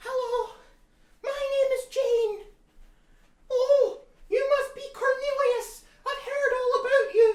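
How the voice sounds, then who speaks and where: Putting on a character voice, a man speaks in a squeaky, extremely high pitch with a monotone, flat intonation, a fairly slow pace and long, frequent pauses. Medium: solo performance. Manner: eager, breathless admiration.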